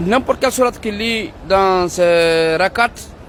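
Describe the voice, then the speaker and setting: A man speaks with a Guinean accent in a high-pitched voice. Background noise is noticeable. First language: Pular (speaking French). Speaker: Islamic preacher. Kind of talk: religious advice talk.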